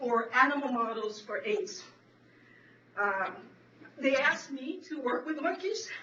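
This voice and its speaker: A woman's high-pitched voice at a fairly slow pace. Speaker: veterinary professor and HIV researcher. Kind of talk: panel presentation. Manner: halting, with many restarts.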